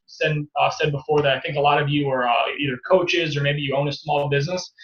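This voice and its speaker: Speech comes at a fairly quick pace. An American accent is heard. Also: man. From upstate New York. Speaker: online marketing coach. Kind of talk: webinar presentation. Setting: online webinar, not at home computer.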